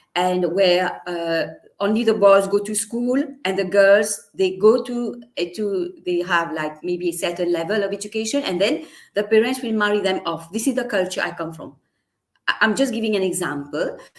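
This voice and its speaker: This speaker has a Mauritian accent, ordinary pitch variation and a moderate pace. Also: woman, medium pitch for a woman. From Mauritius. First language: Mauritian Creole. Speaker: teacher and storyteller. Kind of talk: interview. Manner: halting.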